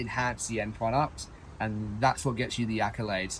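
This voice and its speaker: Speaking at a fairly quick pace, a man with an Australian accent sounds somewhat breathy. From Australia (Perth). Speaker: chef. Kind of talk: interview. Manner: casual, with fillers.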